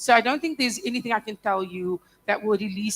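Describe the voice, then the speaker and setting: Speaking at a fairly quick pace, a woman uses an ordinary speaking voice with ordinary pitch variation. The sound is dry and close, without echo. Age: 30s. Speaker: panelist. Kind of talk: panel discussion.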